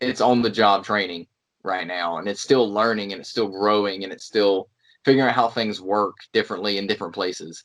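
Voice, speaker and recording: A man with a North Carolina accent, fairly low in pitch, fairly quick, with fairly even intonation and big swings in loudness. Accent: North Carolina Southern. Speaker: pro wrestler. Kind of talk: casual chat.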